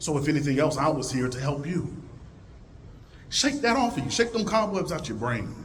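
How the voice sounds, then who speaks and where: A man with a fairly high pitch speaks at a fairly quick pace, his voice swinging very widely in pitch and broken by long, frequent pauses. Audible room echo and noticeable background noise are present. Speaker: librarian and speaker. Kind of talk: conference talk. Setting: stage with audience.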